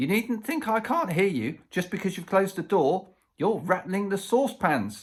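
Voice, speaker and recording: A man does a put-on character voice, shrill and high-pitched with lively intonation. His pace is moderate. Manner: scolding, suspicious.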